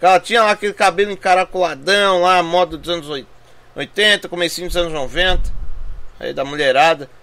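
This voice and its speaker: A moderate pace carries the speech along. Its tone is bright and sharp, with ordinary pitch movement. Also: man. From Brazil. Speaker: gaming YouTuber. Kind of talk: trailer reaction. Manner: animated. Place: home room.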